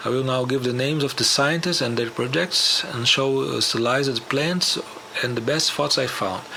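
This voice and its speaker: Someone talks at a moderate pace with a non-native accent and ordinary pitch variation. Loudness stays very even over noticeable background noise. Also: man, medium pitch for a man. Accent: non-native English speaker. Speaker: musician and conspiracy show host. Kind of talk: documentary narration.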